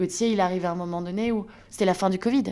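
At a fairly quick pace, a woman with a medium pitch speaks in fairly even intonation on a very clean recording with a silent background. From northern France, Lille. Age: 30s. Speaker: entrepreneur, brand founder. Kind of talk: interview testimony. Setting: in a friend's home.

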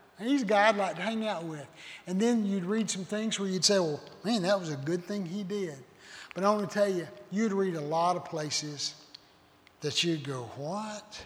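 Noticeable background noise sits under a man talking at a moderate pace. His voice is high for a man, with ordinary pitch variation. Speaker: visiting preacher. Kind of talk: sermon. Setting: church.

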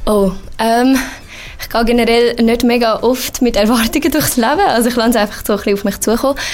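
A high-pitched woman talking at a very fast pace, with ordinary pitch variation amid noticeable background noise. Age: 20s. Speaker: university student. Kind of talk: casual interview.

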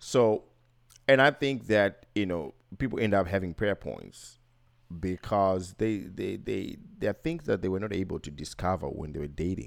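Captured in a very clean recording against a silent background, a man with an unremarkable speaking voice talks at a fairly low pitch with lively intonation. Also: moderate pace. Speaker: podcast co-host. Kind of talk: casual chat. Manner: joking, teasing.

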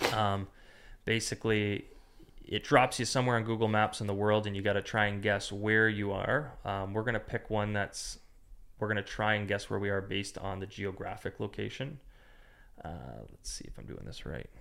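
A normal speaking voice from a man, fairly low in pitch, fairly even in intonation, at a moderate pace. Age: 30s. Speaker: real estate agent. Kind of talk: casual chat.

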